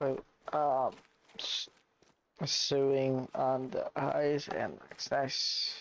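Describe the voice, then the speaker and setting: A quiet man talks at a very slow pace, leaving long, frequent pauses. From Canada. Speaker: gaming streamer. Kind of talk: live stream commentary. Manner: casual.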